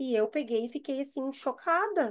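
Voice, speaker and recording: A woman speaks at a high pitch. She has a southern Brazilian accent. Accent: gaúcho (southern Brazilian) Portuguese. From Brazil, Rio Grande do Sul. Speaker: university staff member, mental health panelist. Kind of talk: panel discussion, personal story. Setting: video call. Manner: hesitant, many fillers and repetitions.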